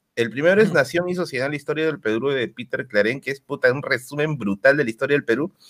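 A man speaks very fast with hardly any pauses, his fairly high voice moving with ordinary pitch variation. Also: dry, close sound with no echo. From Peru, Tacna. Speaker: history content creator. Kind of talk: casual chat.

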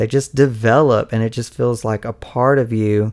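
In a very clean recording with a silent background, a man speaks at a medium pitch and a moderate pace. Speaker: faith podcast host. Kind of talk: solo podcast monologue. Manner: casual, many fillers and laughs.

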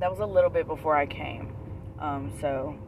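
The intonation is lively. Background noise is noticeable. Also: woman. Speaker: podcast co-host. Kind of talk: casual chat.

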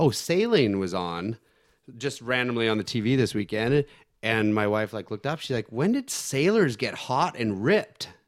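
In a very clean recording with a silent background, a man with a plain, everyday voice speaks at a medium pitch with a Canadian accent and lively intonation. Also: moderate pace. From northern British Columbia and Yukon, Canada. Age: 40s. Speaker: former motocross and stunt rider. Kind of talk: casual chat.

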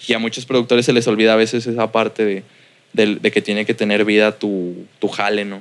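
Speaking with a Mexican accent, a man uses a monotone, flat intonation at a fairly quick pace and a fairly low pitch. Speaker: music producer. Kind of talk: casual interview. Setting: his recording studio.

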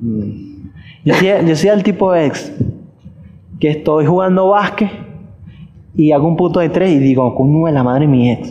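With a Caracas Venezuelan accent, a man speaks at a fairly high pitch with lively intonation, very even loudness and long, frequent pauses, amid noticeable background noise and audible room echo. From Venezuela, Caracas. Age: 20s. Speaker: podcast host. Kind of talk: casual chat.

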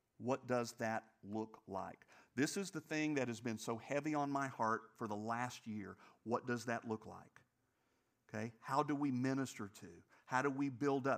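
A man's medium-pitched voice at a moderate pace, with long, frequent pauses, ordinary pitch variation, and a very clean recording over a silent background. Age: 60s. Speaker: pastor. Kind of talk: sermon. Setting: church. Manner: animated.

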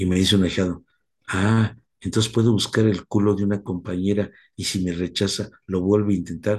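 A man with fairly low pitch and monotone, flat intonation at a moderate pace. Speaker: recovery sponsor. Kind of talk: talk.

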